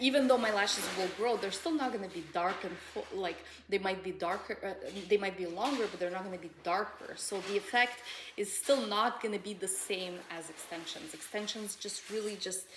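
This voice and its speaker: A woman speaks at a fairly quick pace and medium pitch, with ordinary pitch variation. Noticeable background noise is present. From Russian background. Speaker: lash extension business owner. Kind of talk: casual chat.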